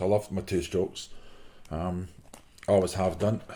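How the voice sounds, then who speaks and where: A man with a Glasgow accent. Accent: Scottish (Glasgow). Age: 60s. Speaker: motorcycle brochure collector. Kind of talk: casual show-and-tell monologue. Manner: halting, many fillers.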